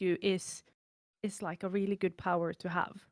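A woman with a Norwegian accent, medium pitch and moderate pace, in a dry, close sound with no echo. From Norway. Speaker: chronically ill content creator. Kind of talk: casual interview chat.

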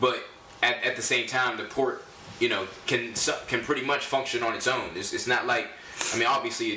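Over noticeable background noise, a man speaks at a fairly quick pace broken by long, frequent pauses. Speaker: rapper and podcast co-host. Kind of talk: casual interview chat. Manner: filler-heavy, repeats "you know what I mean".

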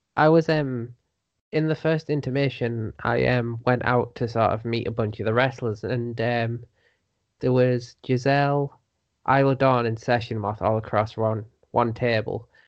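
Speaking at a fairly slow pace, a man with a normal speaking voice keeps a medium pitch and fairly even intonation. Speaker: podcast guest, wrestling writer.

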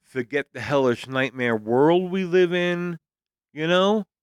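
A normal speaking voice moves at a moderate pace with lively intonation. The sound is dry and close, with no echo. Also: man. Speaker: podcast co-host. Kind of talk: casual chat.

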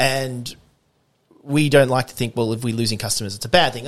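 Speaking at a very fast pace, a man with an Australian accent has a medium pitch. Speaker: coffee roaster and competition barista. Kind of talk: casual interview. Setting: home studio, face-to-face.

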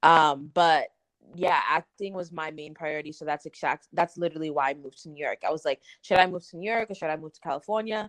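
With an American accent, the speaker talks at a fairly quick pace with fairly even intonation, in a dry, close sound with no echo against a quiet background. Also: woman. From Massachusetts. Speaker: influencer and model. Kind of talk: casual chat.

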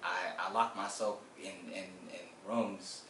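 An American accent, with noticeable background noise and audible room echo. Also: man. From Washington, D.C. and South Carolina. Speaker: collections team leader and community mentor. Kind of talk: interview. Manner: halting, many fillers.

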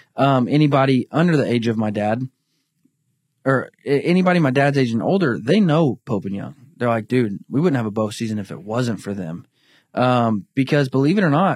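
A man with a plain, everyday voice talks at a moderate pace and medium pitch with lively intonation, in a dry, close sound with no echo on a very clean recording with a silent background. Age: 20s. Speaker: bowhunting organization representative. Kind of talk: casual chat.

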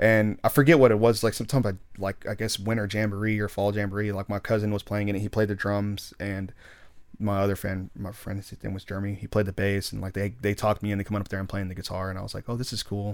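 Words come at a very fast pace in a monotone, flat delivery with an American accent. The recording is very clean, with a silent background. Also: man, fairly low pitch for a man. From Texas, East Dallas. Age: 20s. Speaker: tribute band musician. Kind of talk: casual interview chat. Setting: studio.

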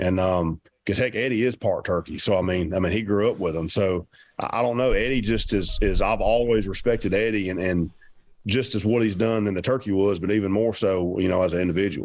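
A man's fairly low voice with a Southern US accent, fairly even intonation and a fairly quick pace, on a very clean recording with a silent background. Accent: Southern US (Georgia). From Georgia, US South. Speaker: professional turkey hunter. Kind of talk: casual interview chat.

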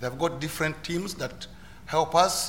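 A man speaks in a Ugandan accent. His intonation stays fairly even. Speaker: asylum seeker and volunteer speaker. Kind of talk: personal testimony on panel. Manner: halting, repeats words.

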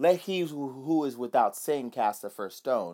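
On a very clean recording with a silent background, a man with an American accent speaks at a medium pitch in an animated tone. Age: 20s. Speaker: podcast preacher. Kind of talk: sermon.

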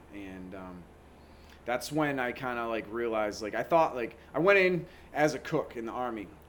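A man with an American accent has an ordinary speaking voice at a medium pitch. He talks at a moderate pace with lively intonation and big swings in loudness. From Massachusetts south coast. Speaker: wellness business owner, army veteran. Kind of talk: interview. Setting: at his business premises.

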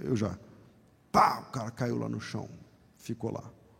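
A man speaks in an animated tone with vocal fry. His pitch is medium and his pace moderate. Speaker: guest pastor. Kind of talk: sermon. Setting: church.

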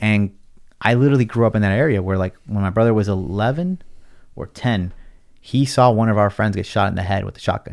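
In a Californian accent, a man with a fairly low pitch is heard on a very clean recording with a silent background. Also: ordinary pitch variation, fairly quick pace. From Los Angeles (Watts). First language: Spanish. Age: 30s. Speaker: content creator. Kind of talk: casual chat. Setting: studio.

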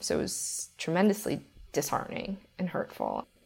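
A woman talks at a fairly quick pace. Vocal fry runs through her voice. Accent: American. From New York, Brooklyn. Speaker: financial analyst. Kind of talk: interview.

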